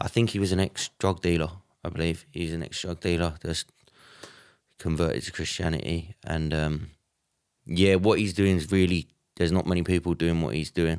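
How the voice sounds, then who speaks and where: Over a very clean recording with a silent background and a dry, close sound with no echo, a man with an English accent and a very deep, low pitch speaks at a moderate pace with fairly even intonation and long, frequent pauses. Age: 20s. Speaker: church member, kickboxer and construction worker. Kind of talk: casual chat.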